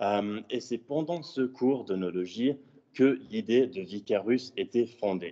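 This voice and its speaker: With a slight English accent, a man speaks at a very slow pace. His tone is dark and mellow, with ordinary pitch variation. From Switzerland. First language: English (speaking French). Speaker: student entrepreneur. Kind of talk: conference presentation. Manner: halting, many fillers.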